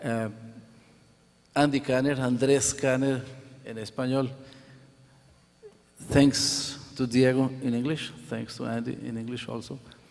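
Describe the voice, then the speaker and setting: A man with a Spanish accent speaks at a fairly slow pace, his medium-pitched voice monotone and flat, with big swings in loudness. Long, frequent pauses break up his speech over noticeable background noise. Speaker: professor and symposium organizer. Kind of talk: closing remarks speech.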